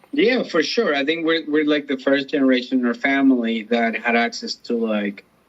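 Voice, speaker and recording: A man with a Spanish accent, fairly high-pitched, at a moderate pace with hardly any pauses and lively intonation. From Colombia. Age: 30s. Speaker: comedian. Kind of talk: interview.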